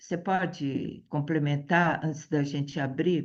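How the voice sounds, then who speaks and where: This woman's voice is very deep and low in pitch, with fairly even intonation and a very slow pace. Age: 70s. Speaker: teacher. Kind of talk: group discussion. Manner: halting.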